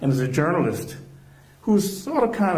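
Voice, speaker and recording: Very fast speech amid noticeable background noise. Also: man. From Charleston, South Carolina. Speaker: journalist. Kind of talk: public talk interviewer.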